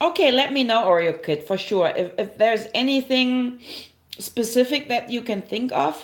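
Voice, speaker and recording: A woman with a German accent speaks at a moderate pace, her intonation lively. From Germany. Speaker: herbalist livestreamer. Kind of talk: live stream tutorial with chat. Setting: livestream. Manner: casual, halting with fillers.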